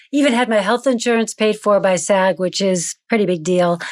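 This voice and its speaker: A woman speaks at a fairly quick pace with an American accent, her pitch in the medium range. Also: dry, close sound with no echo, very clean recording, silent background. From United States. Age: 50s. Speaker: actor and acting coach. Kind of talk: podcast interview.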